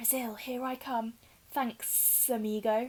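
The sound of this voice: Using a put-on character voice, a woman speaks at a fairly high pitch in a monotone, flat way. Her pace is fairly slow, and hissing can be heard.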